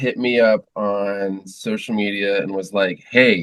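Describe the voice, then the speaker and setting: Here a man talks at a very slow pace. His pitch is fairly low. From US, moved around (Texas, Florida, New Hampshire). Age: 40s. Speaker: musician. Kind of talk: casual interview chat.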